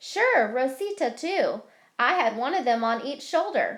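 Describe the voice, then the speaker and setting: High-pitched put-on character voice from a woman, very wide pitch swings, moderate pace. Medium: read story.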